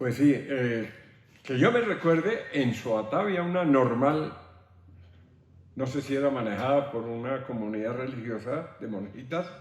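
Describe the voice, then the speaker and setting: Here is a man with an ordinary speaking voice and a medium pitch. He talks at a fairly slow pace with ordinary pitch variation. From Boyacá, Colombia. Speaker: artisan and technical teacher. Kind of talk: interview answer.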